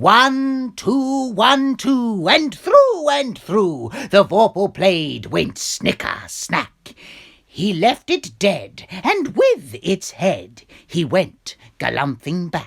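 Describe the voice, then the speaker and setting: A man uses a put-on character voice, high-pitched for a man. He speaks at a very slow pace with very wide pitch swings. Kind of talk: poetry reading.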